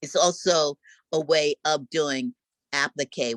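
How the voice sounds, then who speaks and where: In a dry, close sound with no echo, a woman with an American accent speaks in a very deep, low pitch with lively intonation. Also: very clean recording, silent background. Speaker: visual and performance artist. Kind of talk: lecture. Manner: animated.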